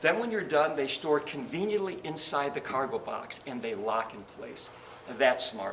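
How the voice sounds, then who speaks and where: Amid noticeable background noise, a man speaks at a moderate pace with lively intonation and a fairly high pitch. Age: 60s. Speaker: car salesman. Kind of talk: sales pitch.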